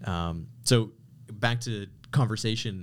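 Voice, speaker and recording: A man's plain, everyday voice, fairly low in pitch, with a Canadian accent and ordinary pitch variation. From Canada. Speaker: podcast guest, branding entrepreneur. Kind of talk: casual chat. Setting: studio.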